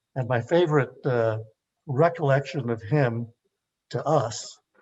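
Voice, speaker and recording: With an American accent, a man talks in a somewhat breathy way. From Los Angeles, East LA. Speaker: panelist, former student activist. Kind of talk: panel discussion. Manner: halting, many filler sounds.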